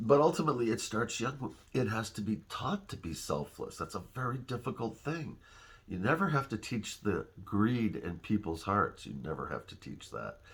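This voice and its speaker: The voice carries vocal fry, with very wide pitch swings and big swings in loudness. Its pace is moderate. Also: man, medium pitch for a man. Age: 60s. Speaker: father giving life advice to his daughter. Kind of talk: personal video message. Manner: conversational, with pauses and fillers.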